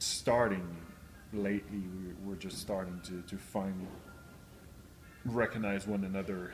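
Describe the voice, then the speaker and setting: Over audible room echo, a man with a very deep, low pitch talks at a moderate pace with fairly even intonation. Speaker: professional cyclist. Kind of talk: interview. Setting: on location at race. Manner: halting; loud.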